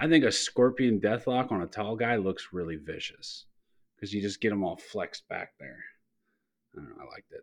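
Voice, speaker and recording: With an American accent and a plain, everyday voice, this man talks at a fairly quick pace in a fairly low pitch, with lively intonation and big swings in loudness. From Youngstown, Ohio, US Midwest. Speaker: podcast guest. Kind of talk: casual chat.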